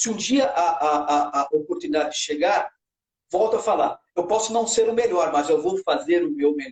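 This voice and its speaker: The pace is moderate while the pitch swings very widely. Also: man, high pitch for a man. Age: 50s. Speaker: TV news reporter. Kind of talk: interview. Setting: live stream. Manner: halting, repeats words.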